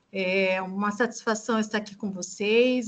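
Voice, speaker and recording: A fairly slow delivery in a flat, monotone intonation. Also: woman. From Brazil, Mato Grosso do Sul. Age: 50s. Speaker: human rights specialist, lecturer. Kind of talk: lecture.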